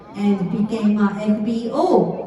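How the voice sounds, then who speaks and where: A woman at a very slow pace, in a Japanese accent, with noticeable background noise and audible room echo. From Japan, Shizuoka. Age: 30s. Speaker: network marketing distributor. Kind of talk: motivational speech. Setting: stage with audience. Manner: careful, halting.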